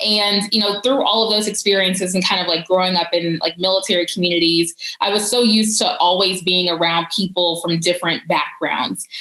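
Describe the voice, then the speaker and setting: An American accent at a fairly quick pace, with very even loudness, hardly any pauses, and noticeable background noise. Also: woman, medium pitch for a woman. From US South, Georgia. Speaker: policy advisor. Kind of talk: conference talk. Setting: virtual conference. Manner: casual, many fillers.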